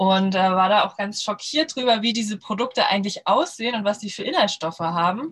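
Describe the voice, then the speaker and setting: With a plain, everyday voice, a woman speaks at medium pitch and a fairly quick pace, with lively intonation and hardly any pauses. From Lower Saxony, northern Germany. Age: 30s. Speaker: startup founder. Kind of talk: podcast interview. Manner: many filler sounds (ähm, äh).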